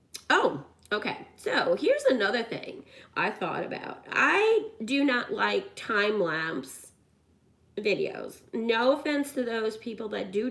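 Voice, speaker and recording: A loud woman, fairly high in pitch, very slow, with very wide pitch swings and noticeable background noise. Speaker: YouTuber doing a craft/coloring video. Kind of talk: casual chat to camera while crafting. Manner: rambling, with many fillers and restarts.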